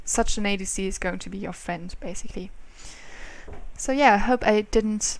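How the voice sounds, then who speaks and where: Here a woman talks at a moderate pace. Her intonation is lively. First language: not English. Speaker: gaming youtuber. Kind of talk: gameplay commentary. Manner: halting.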